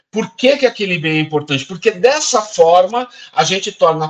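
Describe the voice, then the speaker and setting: The man's intonation is lively. He talks at a moderate speed. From interior of São Paulo state, Brazil (Araraquara). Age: 50s. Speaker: cultural heritage official and actor. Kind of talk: interview.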